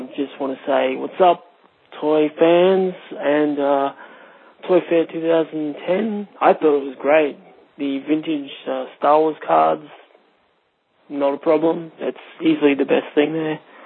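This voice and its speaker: Speaking with an Australian accent, a man uses a fairly high pitch and fairly even intonation. His pace is very slow, with long, frequent pauses. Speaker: podcast caller leaving a voicemail. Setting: phone voicemail.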